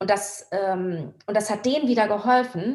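A woman speaks at a fairly high pitch with vocal fry. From Hamburg, northern Germany. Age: 50s. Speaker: surfer and filmmaker. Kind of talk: interview conversation.

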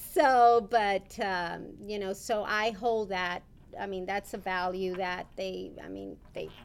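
A woman at a very slow pace, medium in pitch, with fairly even intonation and big swings in loudness. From US South, Rio Grande City, Texas. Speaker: bishop's wife. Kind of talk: interview.

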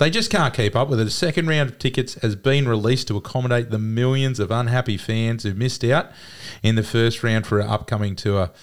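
On a very clean recording with a silent background, a man with an Australian accent talks at a fairly quick pace, keeping very even loudness and ordinary pitch variation. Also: medium pitch for a man. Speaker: sports podcast co-host. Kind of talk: casual chat.

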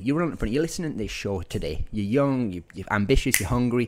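Medium pitch from a man, recorded very cleanly against a silent background. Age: 20s. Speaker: podcast host, entrepreneur. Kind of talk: solo podcast monologue. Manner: animated.

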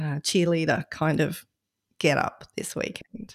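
The recording is very clean and the background silent. A woman talks in an Australian accent. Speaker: podcast fill-in host. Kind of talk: casual chat.

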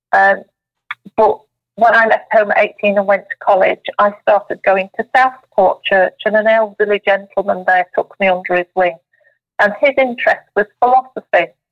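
At a moderate pace, a woman speaks in a medium-pitched voice with fairly even intonation and very even loudness. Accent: Yorkshire. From South Yorkshire, England. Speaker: spiritual medium and tea leaf reader. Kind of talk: casual interview.

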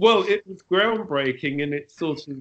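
In a London accent, a man talks at a fairly high pitch. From London, England. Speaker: film composer. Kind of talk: interview.

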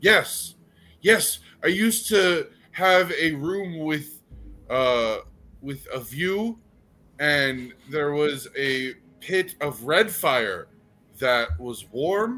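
In a put-on character voice, a man with a fairly high pitch speaks very slowly, with long, frequent pauses and music in the background. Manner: proud, aggrieved.

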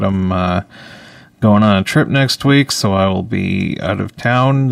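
Over noticeable background noise, a man with a fairly low pitch talks at a very slow pace with lively intonation. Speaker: radio host. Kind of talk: live radio comedy show, casual banter. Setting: radio studio, also streamed live on video. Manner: rambling, filler-heavy, joking.

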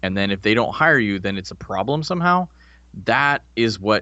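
With an ordinary speaking voice, a man talks at a fairly quick pace using lively intonation. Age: 30s. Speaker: former army officer and podcast host. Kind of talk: casual chat. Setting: podcast recording.

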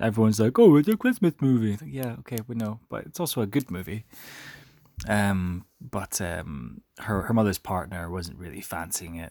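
In a very clean recording with a silent background and a dry, close sound with no echo, a quiet voice moves at a moderate pace with lively intonation. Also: man. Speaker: sports podcast host. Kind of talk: solo sports recap. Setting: recording from bed at home. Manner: quiet, subdued.

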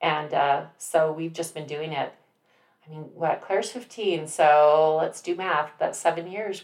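A woman with an American accent has an ordinary speaking voice, a fairly low pitch, and fairly even intonation at a moderate pace. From Utah. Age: 40s. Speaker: nonprofit volunteer. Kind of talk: casual chat.

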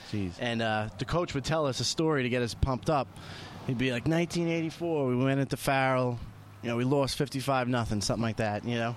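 Talking at a fairly quick pace in a New York accent, a man keeps his loudness very even, with a medium pitch and ordinary pitch variation. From Queens, New York. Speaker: podcast host. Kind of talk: casual chat.

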